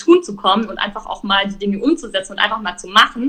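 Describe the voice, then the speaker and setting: A woman speaks with a fairly high pitch and a bright, sharp tone. Her pace is fairly quick. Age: 20s. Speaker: entrepreneur. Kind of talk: casual interview. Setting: live stream.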